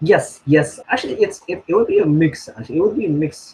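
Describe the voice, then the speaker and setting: Somewhat breathy, a man speaks. His pace is moderate. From Indonesia (Surabaya). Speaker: international student. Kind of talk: casual interview. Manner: hesitant, many fillers.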